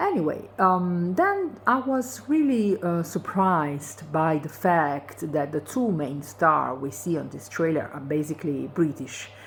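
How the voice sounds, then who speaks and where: Using a non-native accent, a woman with a fairly low pitch speaks at a fairly slow pace with very wide pitch swings and hardly any pauses. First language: not English. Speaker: video blogger. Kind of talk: casual monologue commentary. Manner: hesitant, many fillers.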